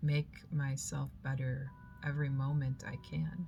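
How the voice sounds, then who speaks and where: At a fairly slow pace, a woman talks while music plays behind her. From moved from Germany to the US as a child. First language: German. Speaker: spiritual vlogger. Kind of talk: reflective personal monologue.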